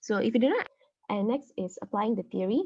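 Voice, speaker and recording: A woman speaks in a plain, everyday voice, fairly high in pitch with ordinary pitch variation. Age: 19. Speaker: workshop facilitator, law student. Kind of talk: online workshop presentation.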